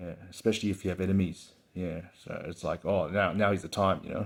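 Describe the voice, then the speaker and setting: In a very deep, low pitch, a man talks at a fairly quick pace with monotone, flat intonation. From Hong Kong, raised in Australia. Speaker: channel host, storyteller. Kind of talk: casual monologue. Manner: filler-heavy, halting.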